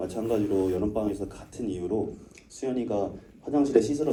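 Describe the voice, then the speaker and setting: There is audible room echo around a man whose voice is dark and mellow, with a somewhat breathy quality. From Seoul, South Korea. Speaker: film director. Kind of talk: Q&A talk after screening.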